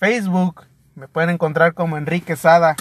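This man's voice sits high in pitch. The sound is dry and close, with no echo. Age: 30s. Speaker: podcast host. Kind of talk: casual monologue.

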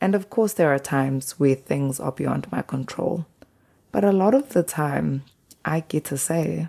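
Very deep and low in pitch, a woman with a South African accent talks at a fairly slow pace in a dark, mellow tone. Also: lively intonation. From South Africa, KwaZulu-Natal. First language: isiZulu. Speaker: podcast host. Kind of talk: personal reflection monologue.

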